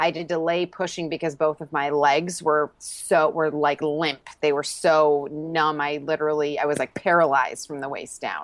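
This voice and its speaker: Against a quiet background, a woman with an American accent speaks at a moderate pace in a very deep, low voice, flat and monotone, with hardly any pauses. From Rochester, New York. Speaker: mother sharing birth stories. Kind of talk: personal storytelling interview.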